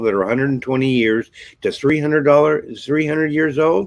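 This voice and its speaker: A man speaks at a moderate pace in a medium pitch. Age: 60s. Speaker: nonprofit founder and broadcast host. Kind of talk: live-stream monologue. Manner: rambling, hesitant with many fillers.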